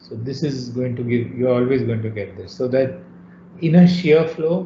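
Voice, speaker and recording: A somewhat breathy man at medium pitch and a moderate pace, with big swings in loudness, audible room echo and light background noise. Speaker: university lecturer. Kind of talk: lecture. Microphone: video call.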